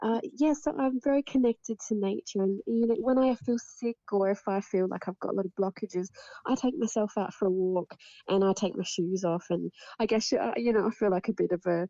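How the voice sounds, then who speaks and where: With an Australian accent, the speaker has a dark, mellow tone and very even loudness at a fairly quick pace. The sound is dry and close, with no echo. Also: woman, medium pitch for a woman, ordinary pitch variation. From Adelaide, South Australia. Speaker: intuitive reader, guest. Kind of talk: casual chat. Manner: halting.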